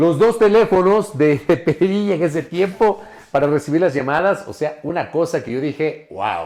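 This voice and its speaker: A high-pitched man's voice with an animated tone, a moderate pace and ordinary pitch variation. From Ecuador, Ambato (Andean highlands), part childhood in Guayaquil. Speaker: journalist. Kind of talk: podcast interview.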